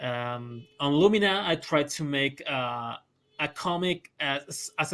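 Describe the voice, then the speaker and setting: Very slow pace in a Spanish accent, with ordinary pitch variation. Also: man. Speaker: comic artist. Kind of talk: interview. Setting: live stream. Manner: halting.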